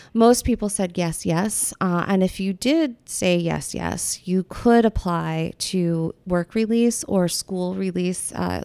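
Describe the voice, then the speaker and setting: In an American accent, a woman with a dark, mellow tone speaks very slowly at a medium pitch with ordinary pitch variation and hardly any pauses, the sound dry and close with no echo. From US Pacific Northwest. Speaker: art professor and photographer. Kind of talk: casual interview.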